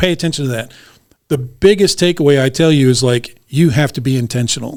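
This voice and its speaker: A man with an ordinary speaking voice talks at a fairly quick pace and medium pitch, with ordinary pitch variation. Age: 50s. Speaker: police detective. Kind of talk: podcast interview.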